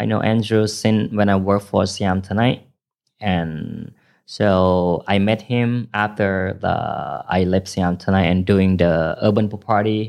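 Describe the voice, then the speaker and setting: Very slow speech from a man, fairly low in pitch with fairly even intonation, quiet background. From northern Thailand, Phayao and Chiang Rai. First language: Iu Mien, then Thai. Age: 30s. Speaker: party promoter. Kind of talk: casual chat. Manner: halting.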